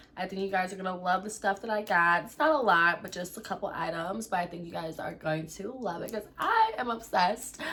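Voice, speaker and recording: Over noticeable background noise, a woman at medium pitch talks at a fairly quick pace with hardly any pauses, ordinary pitch variation, and big swings in loudness. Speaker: beauty and lifestyle vlogger. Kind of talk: casual unboxing vlog. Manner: casual, chatty with fillers.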